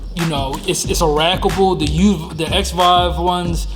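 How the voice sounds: Clear music plays in the background as a man talks at a fairly slow pace. His pitch is fairly high and his intonation fairly even.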